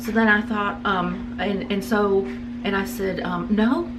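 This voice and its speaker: With music in the background and audible room echo, a woman speaks at a fairly slow pace with fairly even intonation. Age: 50s. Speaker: interviewee, channel owner's mother. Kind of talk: casual interview. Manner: halting.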